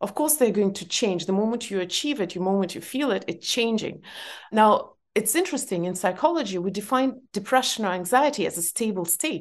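A woman with an Eastern European accent, medium pitch and lively intonation at a fairly quick pace, over a quiet background. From former Soviet Union. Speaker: author. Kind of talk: interview conversation.

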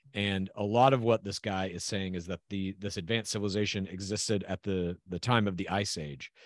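This man has a plain, everyday voice, with fairly low pitch and fairly even intonation. He speaks at a fairly quick pace in a dry, close sound with no echo. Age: 40s. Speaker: podcast co-host. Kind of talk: casual chat. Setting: video call.

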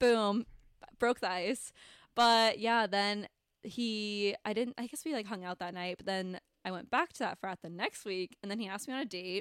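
A woman's ordinary speaking voice at medium pitch, with ordinary pitch variation, big swings in loudness and a moderate pace, dry and close with no echo, in a very clean recording over a silent background. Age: 20s. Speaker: podcast co-host. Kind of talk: casual chat.

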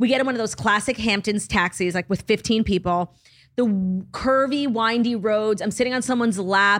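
Using a normal speaking voice, a woman with an American accent talks at a moderate pace in a fairly high pitch. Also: ordinary pitch variation. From United States. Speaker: comedian. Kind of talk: casual chat.

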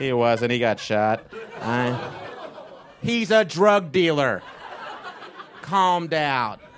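Speaking very slowly with an American accent, a man lets his pitch swing very widely and leaves long, frequent pauses, with noticeable background noise behind him. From Texas, Fort Worth. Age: 30s. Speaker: stand-up comedian. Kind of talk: stand-up. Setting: stage with audience.

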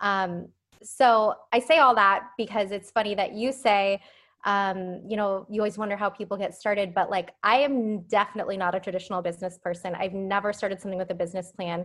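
A woman speaks in a plain, everyday voice at a medium pitch and a fairly quick pace. Her intonation is fairly even, and the recording is very clean with a silent background. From Phoenix, Arizona. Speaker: beauty brand founder. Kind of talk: interview. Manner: casual, filler-heavy.

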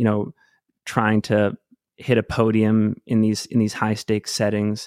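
A fairly low-pitched man with an American accent at a moderate pace, dry and close with no echo, on a very clean recording with a silent background. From US Northeast (Maine). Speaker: podcast host and trail runner. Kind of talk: casual interview. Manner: halting, many restarts.

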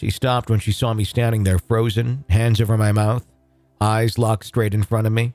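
Against music in the background, a man talks at a moderate pace with a dry, close sound that has no echo. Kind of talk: ghost story telling, reading a first-person account aloud.

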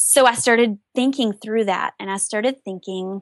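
A woman with an American accent uses a normal speaking voice at medium pitch and a moderate pace, with ordinary pitch variation, in a dry, close recording with no echo and a quiet background. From US South. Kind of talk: casual interview.

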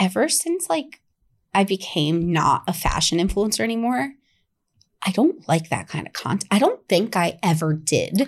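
The woman's voice is somewhat breathy, with very wide pitch swings. The recording is very clean, with a silent background. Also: medium pitch for a woman, moderate pace. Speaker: podcaster and former publicist. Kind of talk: casual chat. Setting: podcast studio.

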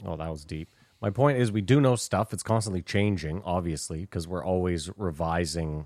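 Speaking at a moderate pace, a man with a Canadian accent has a very deep, low voice. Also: ordinary pitch variation, very clean recording, silent background. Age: 40s. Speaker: podcast host. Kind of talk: casual chat.

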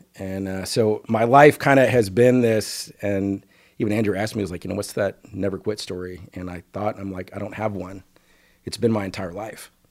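With an American accent and an unremarkable speaking voice, a man talks at a moderate pace and fairly low pitch, his intonation fairly even but his loudness swinging widely. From Northeast Texas. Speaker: business executive. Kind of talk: casual interview.

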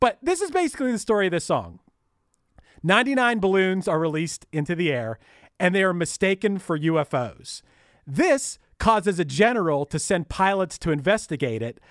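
A man's high-pitched voice with a strong Pittsburgh accent and very wide pitch swings, dry and close with no echo. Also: fairly quick pace, very clean recording, silent background. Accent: thick Pittsburgh. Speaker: podcast host. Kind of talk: casual chat.

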